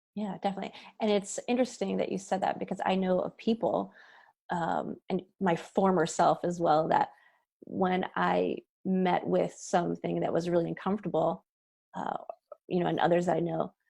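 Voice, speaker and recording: Here a woman talks at a moderate pace. The background is quiet. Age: 40s. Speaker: podcast host and hypnotist. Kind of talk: interview.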